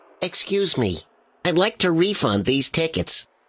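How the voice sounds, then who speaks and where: Putting on a character voice, a man speaks high in pitch with very wide pitch swings at a moderate pace, the sound dry and close with no echo. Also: very clean recording, silent background. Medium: video game. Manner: polite, awkward, self-pitying.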